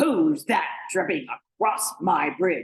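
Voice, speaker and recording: A put-on character voice growls and bellows at a fairly high pitch. The pace is fairly slow. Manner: gruff, menacing.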